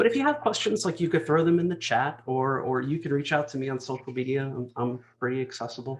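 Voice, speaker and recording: Very fast, somewhat breathy speech with an American accent, ordinary pitch variation and hardly any pauses. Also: man, medium pitch for a man. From US, New Jersey. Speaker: executive speaker. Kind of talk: conference talk.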